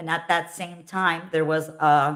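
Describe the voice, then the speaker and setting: In a Philadelphia accent, a woman with a fairly low voice and a bright, sharp tone speaks at a very slow pace. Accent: American, Philadelphia. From US, Philadelphia. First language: Russian. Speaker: dancer and show creator. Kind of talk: interview. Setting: live stream show.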